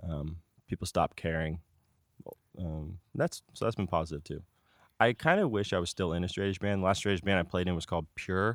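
Speaking with an American accent, a man talks at a fairly quick pace in a very deep, low voice. The recording is very clean, with nothing audible in the background. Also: ordinary pitch variation. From Northern California (Bay Area suburbs). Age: 20s. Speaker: satire website founder. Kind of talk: casual interview chat. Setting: outdoors in a backyard.

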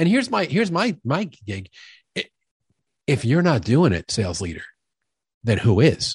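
A man with an American accent talks at a moderate pace with a fairly high, vocal-fry voice whose pitch swings very widely, leaving long, frequent pauses. The recording is very clean, with a silent background and a dry, close sound with no echo. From New York. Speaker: sales expert and author. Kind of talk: casual interview conversation.

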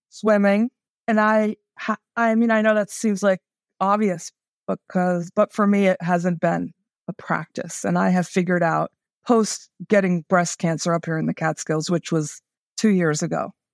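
In a very clean recording with a silent background and a dry, close sound with no echo, a woman with an unremarkable speaking voice talks at a medium pitch with fairly even intonation. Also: moderate pace. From New York City. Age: 50s. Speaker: diversity and inclusion consultant. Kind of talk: casual chat.

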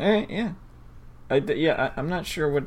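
Speaking at a fairly quick pace, a man is heard with noticeable background noise behind him. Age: 20s. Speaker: podcast co-presenter. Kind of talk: casual chat.

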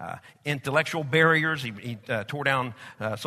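A man with a Southern Plains US accent talks at a moderate pace. His fairly high voice has a bright, sharp tone. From Oklahoma/Texas. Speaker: pastor. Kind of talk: sermon. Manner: filler-heavy, conversational.

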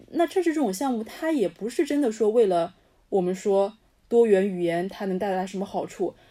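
A woman's fairly high, dark and mellow voice with very wide pitch swings. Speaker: podcast co-host. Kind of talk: casual chat.

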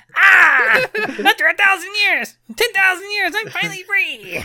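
Someone performs a put-on character voice pitched extremely high. The delivery is fairly slow. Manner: gloating, theatrical villain.

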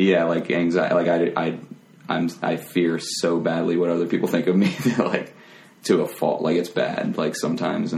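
With noticeable background noise behind him, a man speaks at a moderate pace in a very deep, low pitch with monotone, flat intonation. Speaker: podcast guest, comedy performer.

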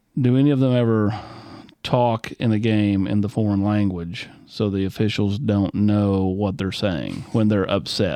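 The man has a Southern US accent and a fairly low pitch. He talks at a fairly slow pace, with fairly even intonation and very even loudness. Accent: Southern US, country twang. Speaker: sports podcast host. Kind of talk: interview.

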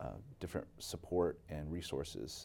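In an American accent, a man with a very deep, low voice and a dark, mellow tone talks at a fairly slow pace with vocal fry. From Seattle area, Washington (arrived age 5 from the Philippines). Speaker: education consultant. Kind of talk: interview. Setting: studio.

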